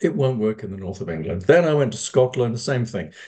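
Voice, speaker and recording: A man's medium-pitched, dark, mellow voice with a British accent, lively intonation and a fairly quick pace. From United Kingdom. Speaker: fundraising consultant. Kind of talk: lecture.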